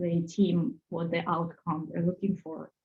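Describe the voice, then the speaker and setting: Speech in a Russian accent comes at a fairly slow pace with fairly even intonation. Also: woman. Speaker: HR and recruitment professional. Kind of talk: webinar panel discussion.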